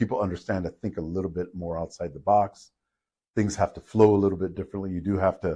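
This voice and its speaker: Speaking at a very fast pace, a man with a very deep, low pitch and a dark, mellow tone keeps fairly even intonation despite big swings in loudness. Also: quiet background. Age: 60s. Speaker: entrepreneur. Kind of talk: casual chat.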